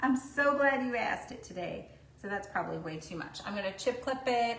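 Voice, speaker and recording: A loud, high-pitched woman talking at a fairly quick pace with lively intonation, plus audible room echo and noticeable background noise. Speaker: craft painting instructor. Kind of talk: live stream painting tutorial. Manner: chatty, casual.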